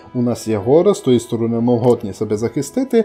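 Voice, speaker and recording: Music plays behind a man speaking with a Transcarpathian accent. His intonation is lively and his pace moderate. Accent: Transcarpathian Ukrainian dialect. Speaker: gaming video host. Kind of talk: game commentary ranking video.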